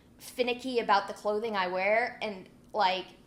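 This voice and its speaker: Audible room echo surrounds a woman's fairly high voice as she speaks at a moderate pace with fairly even intonation. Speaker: security professional giving a conference talk. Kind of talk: conference talk. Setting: conference stage with audience. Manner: loud, with poorly controlled volume and pitch; blunt.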